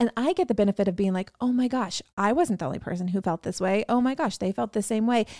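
A woman's very fast speech with hardly any pauses, lively intonation and a dark, mellow tone, in a dry, close sound with no echo. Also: fairly high pitch for a woman. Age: 30s. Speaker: wellness business founder. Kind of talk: casual chat.

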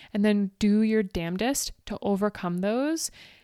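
A woman talks in an animated tone with ordinary pitch variation, recorded very cleanly against a silent background with a dry, close sound and no echo. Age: 40s. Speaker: running coach and podcast host. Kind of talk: motivational solo podcast.

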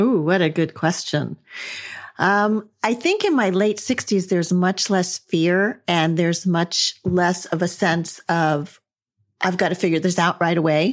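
A woman speaks with a plain, everyday voice at a fairly low pitch and fairly slow pace. Her intonation is fairly even, her loudness very even, and the background quiet. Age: 60s. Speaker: podcast host and former corporate trainer. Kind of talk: casual interview chat.

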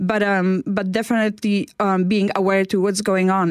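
The speaker has a Polish accent. The pace is fairly quick. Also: woman. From Poland. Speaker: inspirational speaker, former care worker. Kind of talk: radio interview. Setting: radio studio.

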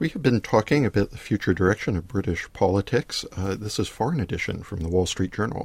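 A man with a fairly low, somewhat breathy voice and an American accent, talking at a very fast pace with lively intonation and hardly any pauses. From United States. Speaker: podcast host, newspaper editorial writer. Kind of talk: political interview. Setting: studio. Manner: hesitant, many fillers.

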